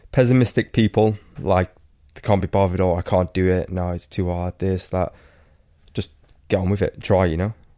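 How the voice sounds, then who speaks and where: A man with a Welsh accent speaks at a fairly quick pace in a very deep, low pitch, his tone dark and mellow. His intonation stays fairly even, with long, frequent pauses, and the sound is dry and close with no echo. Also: very clean recording, silent background. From Wales. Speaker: professional cyclist. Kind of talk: casual chat.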